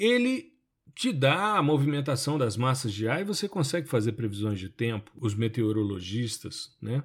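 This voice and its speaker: Very wide pitch swings from a somewhat breathy man at a medium pitch, on a very clean recording with a silent background. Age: 50s. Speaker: podcast host and remote sensing professor. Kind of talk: solo podcast monologue. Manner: conversational.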